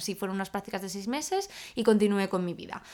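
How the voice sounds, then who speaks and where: An unremarkable speaking voice: a woman at medium pitch, fairly quick pace and ordinary pitch variation. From Spain, Salamanca. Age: 20s. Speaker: podcast co-host. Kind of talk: casual chat.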